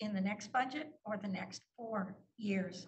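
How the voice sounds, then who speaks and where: Audible room echo follows a woman at medium pitch whose intonation stays fairly even. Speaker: city councillor. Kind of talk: council meeting debate. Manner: emphatic.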